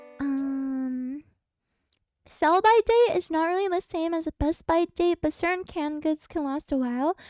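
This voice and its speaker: A woman's extremely high-pitched voice comes through with a dry, close sound and no echo. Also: ordinary pitch variation, moderate pace. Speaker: livestreamer. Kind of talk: casual livestream chat.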